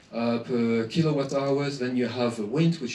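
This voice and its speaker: Audible room echo around a man speaking at a fairly quick pace. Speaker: association president giving a talk. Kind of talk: presentation. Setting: conference with audience. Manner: hesitant, many fillers.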